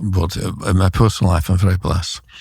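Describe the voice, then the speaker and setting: A man talks very fast in a very deep, low voice. His delivery is somewhat breathy. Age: 70s. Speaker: immigration writer and commentator. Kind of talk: interview. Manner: halting, many fillers and repetitions.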